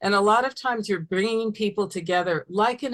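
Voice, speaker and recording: A woman with a plain, everyday voice speaks at a moderate pace and medium pitch, with ordinary pitch variation, in a dry, close sound with no echo. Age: 60s. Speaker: therapist. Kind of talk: webinar lecture.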